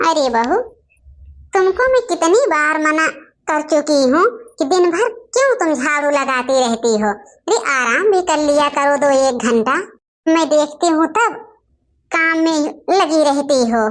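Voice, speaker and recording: A cartoonish character voice from a woman, high-pitched and squeaky, fairly slow with long, frequent pauses and very wide pitch swings. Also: very even loudness. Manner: scolding.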